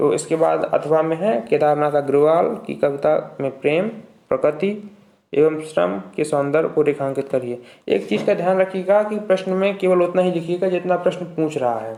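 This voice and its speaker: This man has a high pitch and a dark, mellow tone. His pitch varies in an ordinary way, and his pace is moderate. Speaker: online tutor for university exams. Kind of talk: tutorial. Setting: live stream.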